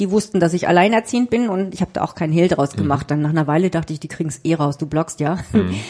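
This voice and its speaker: Lively intonation at a very fast pace. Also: woman. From southern Germany (Freiburg im Breisgau), northern German family. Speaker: journalist and author. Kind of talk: interview.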